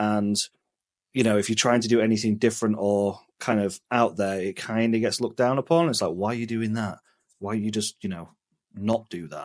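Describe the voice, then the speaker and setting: A man with an English accent, fairly low in pitch, at a fairly quick pace with ordinary pitch variation against a quiet background. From England. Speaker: travel vlogger. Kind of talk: casual chat. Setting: indoors at home, talking head at computer.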